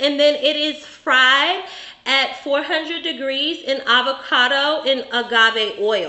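In a room with audible echo, a woman speaks very slowly at a high pitch with ordinary pitch variation. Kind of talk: cooking demonstration explanation. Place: bar.

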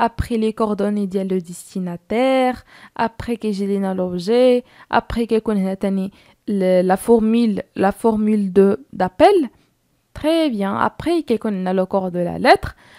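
A woman with a Moroccan accent speaks very slowly in a dark, mellow tone, her medium pitch showing ordinary variation. The recording is very clean, with a silent background. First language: Moroccan Arabic (speaking French). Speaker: French teacher for middle school. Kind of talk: lecture. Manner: halting.

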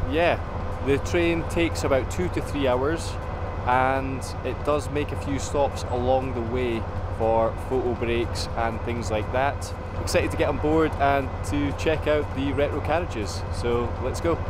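Over loud background noise, a man speaks at a fairly slow pace in a dry recording with no echo. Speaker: travel vlogger. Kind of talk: casual vlog chat. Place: station. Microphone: phone near.

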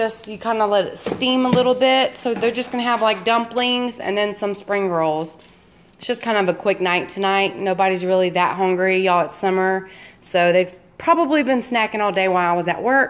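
The speech moves at a moderate pace with ordinary pitch variation. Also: woman. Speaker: home vlogger. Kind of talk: casual vlog chat. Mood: relaxed, upbeat. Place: kitchen. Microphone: phone near.

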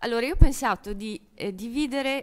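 Ordinary pitch variation runs through this woman's speech. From Italy. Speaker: architect; speaker, architecture professor. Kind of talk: conference talk. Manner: halting. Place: hall. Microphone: podium.

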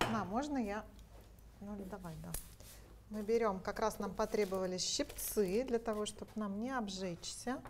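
At a fairly slow pace, a woman speaks with vocal fry, fairly even intonation and long, frequent pauses over light background noise. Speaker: company representative; product demonstrator. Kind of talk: product presentation. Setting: kitchen studio. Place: kitchen.

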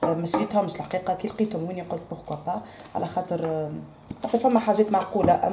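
A woman speaks at a fairly quick pace in a fairly low pitch with ordinary pitch variation, with audible room echo and light background noise. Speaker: home vlogger. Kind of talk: casual vlog chat. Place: kitchen. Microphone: phone near.

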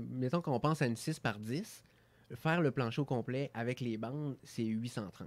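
In a Quebec accent, a man talks at a moderate pace with ordinary pitch variation. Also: medium pitch for a man. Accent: Québécois French. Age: 30s. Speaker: entrepreneur; guest. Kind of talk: radio interview; interview answer. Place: studio. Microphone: studio mic.

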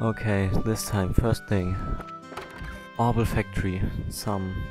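A fairly slow voice over clear music in the background, dry with no echo. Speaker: let's play gamer. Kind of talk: casual gameplay commentary.

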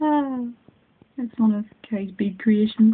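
Over light background noise, a woman with a Northern Irish accent speaks at a fairly slow pace in a fairly high pitch with ordinary pitch variation. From Northern Ireland. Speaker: craft hobbyist. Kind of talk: casual craft unboxing talk to camera. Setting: phone recording at home. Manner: excited, chatty. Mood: delighted, excited. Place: home room. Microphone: phone near.

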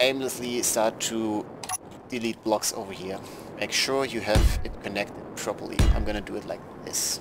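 Against noticeable background noise, a man talks with a non-native accent. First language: not English. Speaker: game tutorial creator. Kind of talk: video game tutorial narration. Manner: casual, relaxed.

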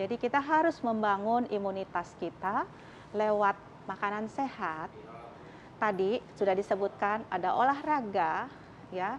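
A woman speaks at a fairly slow pace. Her pitch varies in an ordinary way over light background noise. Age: 50s. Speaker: doctor; TV guest. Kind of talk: talk show interview. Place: studio.

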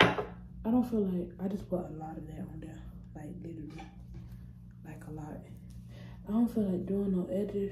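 A woman talks at a fairly quick pace with ordinary pitch variation over loud background noise. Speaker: vlogger. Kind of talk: casual vlog chat. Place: bathroom. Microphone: phone near.

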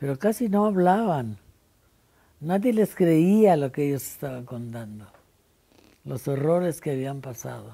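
At a fairly slow pace, a woman with a very deep, low pitch swings very widely in pitch and loudness, leaving long, frequent pauses. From Poland. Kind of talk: oral history interview answer. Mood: calm, reflective, serious. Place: home room.

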